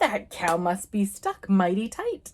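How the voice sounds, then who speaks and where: A woman puts on a gruff character voice at a medium pitch. She speaks at a fairly slow pace. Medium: read story. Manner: gruff, grunting.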